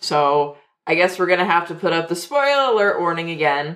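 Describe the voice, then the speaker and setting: A woman with an unremarkable speaking voice talks at a fairly low pitch with lively intonation. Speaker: co-host. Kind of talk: casual chat.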